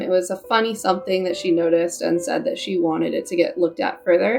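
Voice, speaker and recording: A woman with an American accent and ordinary pitch variation, over noticeable background noise. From California. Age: 30s. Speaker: parent vlogger, army veteran. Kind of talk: personal storytelling vlog. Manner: casual, uses fillers.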